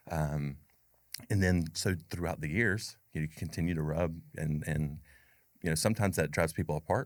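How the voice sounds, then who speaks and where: With an American accent, a man speaks at a moderate pace. His pitch is very deep and low, with ordinary pitch variation. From US South, North Carolina. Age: 40s. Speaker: business owner. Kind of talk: casual chat.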